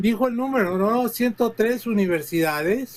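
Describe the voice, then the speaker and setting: The speaker is a man with a high pitch. It rises and falls in an ordinary way. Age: 70s. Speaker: political analyst and professor. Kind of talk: TV panel debate. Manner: halting, many fillers.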